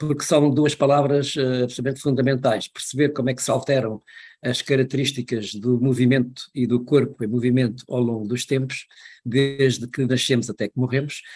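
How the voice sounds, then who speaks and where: Music plays behind a man who speaks at a moderate pace in a medium pitch with flat, monotone intonation. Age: 70s. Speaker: retired professor of physical education. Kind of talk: podcast interview.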